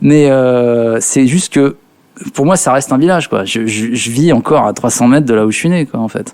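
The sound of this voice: Speaking at a moderate pace, a man has a medium pitch, ordinary pitch variation and a slightly mellow tone.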